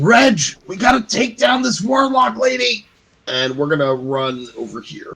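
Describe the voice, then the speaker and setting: Putting on a raspy character voice, a man speaks high and projected at a moderate pace, with very wide pitch swings and big jumps in loudness. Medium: actual play.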